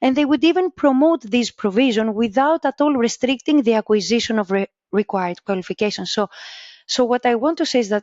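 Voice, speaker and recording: Lively intonation marks this woman's fairly high voice. She speaks at a fairly quick pace with a Greek accent. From Greece. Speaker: vocational education researcher. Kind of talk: interview. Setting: podcast. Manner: halting.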